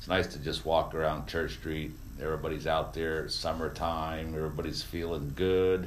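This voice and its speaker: Vocal fry marks a man's very deep, low voice, with ordinary pitch variation at a moderate pace. Audible room echo surrounds it. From Vermont. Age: 50s. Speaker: radio host. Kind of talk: talk radio monologue. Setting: studio.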